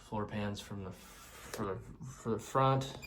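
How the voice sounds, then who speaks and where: A man talks at a fairly low pitch with fairly even intonation. Noticeable background noise and audible room echo fill the recording. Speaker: car restoration vlogger. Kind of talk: casual vlog walkaround. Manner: hushed, quiet; hesitant, many fillers.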